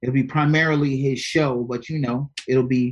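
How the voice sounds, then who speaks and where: In an American accent, an ordinary speaking voice moves at a fairly slow pace with ordinary pitch variation. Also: man. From Maryland, Prince George's County. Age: 30s. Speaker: rapper. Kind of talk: casual interview.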